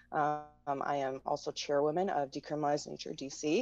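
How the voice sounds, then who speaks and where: A woman with an American accent speaks in a very deep, low pitch. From US Midwest. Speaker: activist. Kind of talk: interview.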